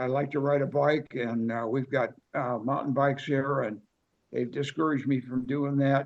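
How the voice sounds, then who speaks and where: At a fairly slow pace, a man talks at medium pitch with monotone, flat intonation. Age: 80s+. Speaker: workshop attendee. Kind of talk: audience question. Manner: halting, many fillers.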